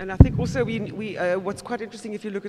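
There is light background noise behind this man's voice. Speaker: moderator. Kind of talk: panel discussion. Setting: stage with audience. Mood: earnest, personal. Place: hall. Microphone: podium.

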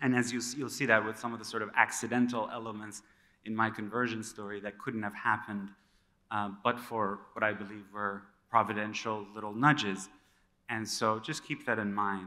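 His tone is bright and sharp. The man speaks in a monotone with flat intonation. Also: fairly low pitch for a man, moderate pace. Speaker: conference speaker. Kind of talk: talk to an audience. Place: stage. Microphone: podium.

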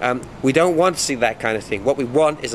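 A man at medium pitch and moderate pace, lively intonation, faint background noise

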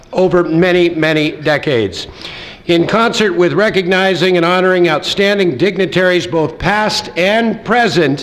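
Loudness stays very even while the pace is moderate and the pitch varies in an ordinary way. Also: man, high pitch for a man. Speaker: event host. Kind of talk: formal ceremony welcome speech. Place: hall. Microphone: podium.

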